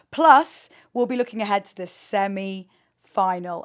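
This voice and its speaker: A woman's medium-pitched voice with lively intonation and an English accent. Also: very clean recording, silent background. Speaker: podcast host. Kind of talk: casual chat.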